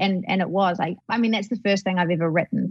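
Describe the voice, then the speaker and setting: Against music in the background, a woman speaks at a medium pitch with fairly even intonation in a dry, close sound with no echo. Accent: New Zealand. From New Zealand. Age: 20s. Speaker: actress. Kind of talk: casual interview chat.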